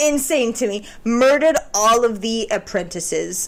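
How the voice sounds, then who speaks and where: There is noticeable background noise behind a woman with a non-native accent. Her intonation is lively. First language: not English. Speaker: video essayist, film commentary. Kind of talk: casual monologue. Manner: conversational, with filler words.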